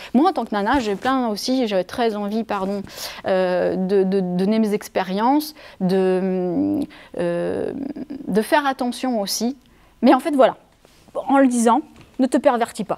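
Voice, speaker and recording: Speaking very slowly with long, frequent pauses, a woman has a fairly high pitch, ordinary pitch variation, and a dark, mellow tone. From France, Savoie. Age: 40s. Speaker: improv theatre director. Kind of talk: interview. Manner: hesitant; animated.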